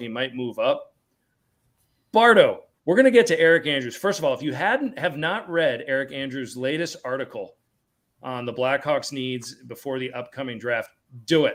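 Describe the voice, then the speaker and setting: Lively intonation marks this man's fairly high pitch, captured on a very clean recording with a silent background. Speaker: podcast host. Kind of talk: podcast panel discussion. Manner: fast; animated.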